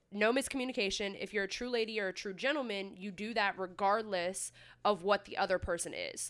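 An ordinary speaking voice at a fairly quick pace, fairly even in intonation, on a very clean recording with a silent background. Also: woman. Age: 20s. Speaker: podcast co-host. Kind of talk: casual chat.

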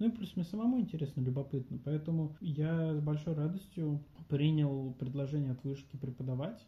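A man's fairly high, somewhat breathy voice with a dark, mellow tone, fairly quick, with ordinary pitch variation. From Russia, Voronezh. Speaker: university lecturer and business coach. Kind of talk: interview.

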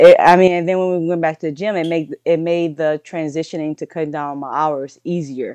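A woman's dark, mellow tone at a fairly quick pace, with fairly even intonation and a dry, close sound with no echo. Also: fairly low pitch for a woman. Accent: slight Louisiana. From southern Louisiana. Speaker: powerlifter and coach. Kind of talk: casual interview conversation.

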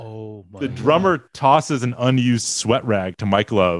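An unremarkable speaking voice: a man at medium pitch with lively intonation, talking at a moderate pace. The sound is dry and close with no echo, over a quiet background. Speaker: podcast guest. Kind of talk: casual chat. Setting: studio.

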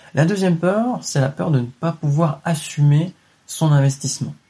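Fairly slow and somewhat breathy, a man talks at a fairly high pitch in a dark, mellow tone. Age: 20s. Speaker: real estate investing podcaster. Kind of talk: solo motivational monologue. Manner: casual, direct with filler words.

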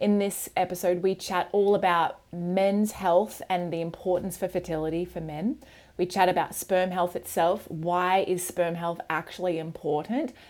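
A woman with an Australian accent, fairly low in pitch, at a moderate pace with fairly even intonation and hardly any pauses, on a very clean recording with a silent background. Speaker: podcast host and women's cycle health educator. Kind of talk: scripted intro and casual interview chat.

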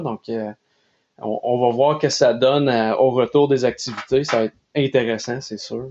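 A man's plain, everyday voice at medium pitch, with fairly even intonation. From Nova Scotia, Canada (Quebecois parents). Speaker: athletic therapist. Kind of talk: casual interview.

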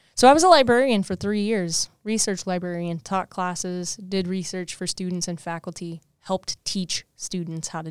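In a very clean recording with a silent background and dry, close sound with no echo, a woman with a Midwestern US accent speaks at a moderate pace and fairly low pitch with ordinary pitch variation. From southwest Missouri, US. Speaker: assistant director of career services, co-host. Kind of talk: casual interview chat.

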